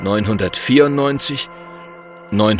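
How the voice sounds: The voice is a natural reading voice, and its pitch varies in an ordinary way.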